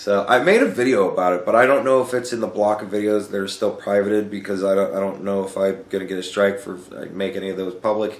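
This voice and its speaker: A man talks at a very fast pace in a fairly low pitch. The room echo is audible. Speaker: YouTuber answering viewer questions. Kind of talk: casual Q&A monologue. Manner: halting, repeats words.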